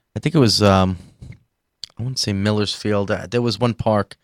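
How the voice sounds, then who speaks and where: A man's fairly low voice with a New York accent at a fairly quick pace, in dry, close sound with no echo. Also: very clean recording, silent background. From New York City, Staten Island. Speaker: rock band drummer. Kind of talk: casual interview. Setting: live stream broadcast.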